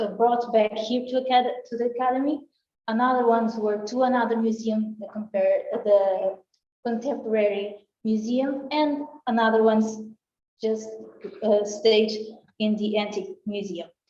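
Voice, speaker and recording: In a Portuguese accent, a woman with a dark, mellow tone speaks at a moderate pace with long, frequent pauses. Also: fairly high pitch for a woman, fairly even intonation. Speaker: art researcher. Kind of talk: conference talk. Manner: halting.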